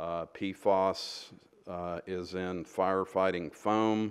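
A man speaks in a very deep, low pitch with monotone, flat intonation. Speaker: presenter. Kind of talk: presentation to council. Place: meeting room.

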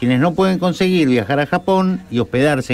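A man with a normal speaking voice, at a moderate pace, with ordinary pitch variation. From Argentina. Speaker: radio sports host. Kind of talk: casual radio chat. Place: studio. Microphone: studio mic.

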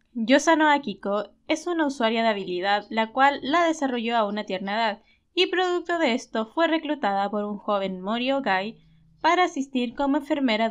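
A woman speaks in a high pitch with a cheerful tone and lively intonation. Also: quiet background. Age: 20s. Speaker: YouTuber analyzing anime characters. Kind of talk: video commentary / character analysis. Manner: cheerful, occasional laughter.

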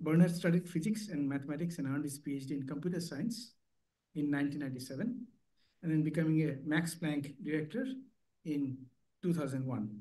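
A man's somewhat breathy voice in a dark, mellow tone, fairly high in pitch with ordinary pitch variation, at a moderate pace with long, frequent pauses. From India. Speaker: session chair and statistician. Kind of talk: formal introduction. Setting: stage with audience. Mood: polite, formal. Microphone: video call.

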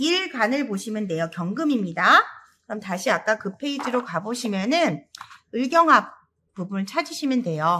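Using very wide pitch swings, a woman with a fairly high pitch and a bright, sharp tone talks at a moderate pace. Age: 40s. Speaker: saju fortune-telling teacher. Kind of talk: lecture.

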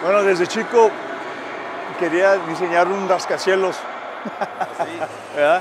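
A man talks at a very slow pace in a high pitch, with monotone, flat intonation and long, frequent pauses. The sound is dry with no echo, though noticeable background noise is present. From El Paso, Texas. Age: 50s. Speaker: architect. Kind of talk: interview. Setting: on location at stadium. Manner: halting, repeats words. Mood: cheerful, nostalgic. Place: stadium.

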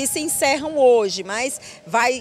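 A woman speaks at a fairly slow pace with lively intonation. The sound is dry with no echo, over light background noise. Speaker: field reporter. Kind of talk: live news report. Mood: cheerful, upbeat. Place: open country. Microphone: handheld.

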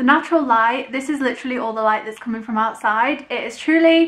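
Very fast speech from a woman at a high pitch, ordinary pitch variation, quiet background. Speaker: vlogger. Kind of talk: casual vlog chat. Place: home room. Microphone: camera far.

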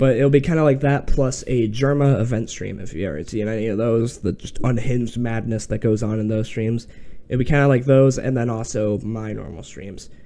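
With hardly any pauses, a man speaks at a fairly quick pace in a dark, mellow tone with ordinary pitch variation. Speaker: streamer. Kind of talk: casual vlog chat. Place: home room. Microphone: studio mic.

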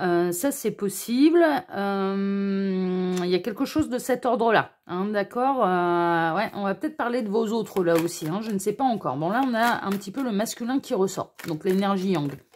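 A woman's lively intonation at a fairly slow pace, hardly any pauses, over light background noise. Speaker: tarot card reader. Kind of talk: tarot reading video. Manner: gentle, kind intonation.

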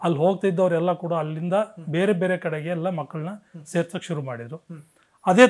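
A man's high voice shows ordinary pitch variation over a quiet background. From Karnataka, Hassan district (Alur taluk); Karnataka. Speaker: retired army veteran. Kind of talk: interview storytelling. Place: home room. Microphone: lapel.

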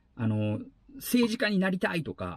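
Against a quiet background, a man's voice moves in very wide pitch swings, with a dry sound and no echo. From Aichi, Japan. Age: 40s. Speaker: YouTuber and former actor; travel vlogger. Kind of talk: vlog monologue; casual vlog monologue on social issues. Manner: hesitant with many fillers. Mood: earnest, thoughtful. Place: car.

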